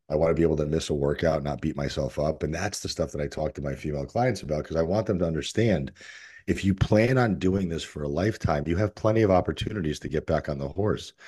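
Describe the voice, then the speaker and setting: Speaking at a very fast pace, a man uses a very deep, low voice with a dark, mellow tone. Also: ordinary pitch variation, quiet background. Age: 40s. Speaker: fitness coach. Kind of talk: casual interview conversation.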